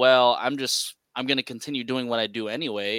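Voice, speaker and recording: Recorded very cleanly against a silent background, with a dry, close sound and no echo, a man with an American accent speaks in a bright, sharp tone with fairly even intonation. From San Francisco, California. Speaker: podcast co-host and interviewer. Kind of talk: casual chat.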